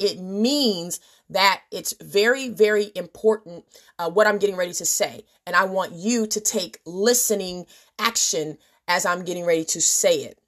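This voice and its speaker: Using a put-on character voice, a woman speaks raspy at medium pitch and a moderate pace, with ordinary pitch variation against a quiet background. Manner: slow, deliberate, emphatic.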